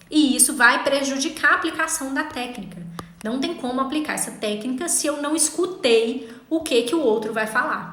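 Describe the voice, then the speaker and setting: A woman projects a raised, high-pitched voice at a moderate pace with ordinary pitch variation, amid noticeable background noise and audible room echo. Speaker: legal writing instructor. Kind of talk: online class. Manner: incisive.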